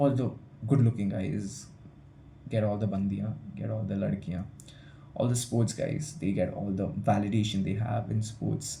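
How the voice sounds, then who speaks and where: Audible room echo surrounds a man speaking at a moderate pace in a dark, mellow tone with vocal fry. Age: young. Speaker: student vlogger. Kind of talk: casual vlog monologue. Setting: hostel room. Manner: halting, with fillers and repetitions.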